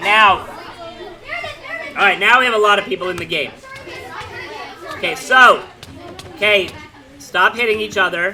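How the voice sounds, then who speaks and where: A man with a high-pitched, raised, projected voice speaks at a moderate pace in an animated tone. Audible room echo and noticeable background noise fill the recording. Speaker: middle school teacher. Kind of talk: classroom instruction. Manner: loud.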